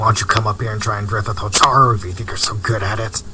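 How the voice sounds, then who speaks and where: Someone puts on a character voice and races along at a very fast pace over clear background noise. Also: man, fairly low pitch for a man. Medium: audio drama. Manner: teasing, combative.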